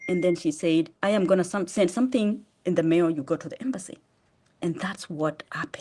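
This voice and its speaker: Her voice has a dark, mellow tone at a medium pitch and a Kenyan accent. The woman moves at a fairly quick pace. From Kenya, eastern. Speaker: charity founder. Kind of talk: testimony. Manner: fast.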